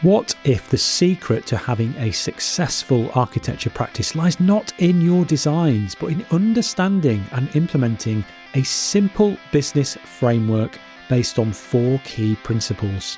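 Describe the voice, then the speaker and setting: A man at medium pitch with very wide pitch swings, music in the background. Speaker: podcast host. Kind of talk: podcast intro.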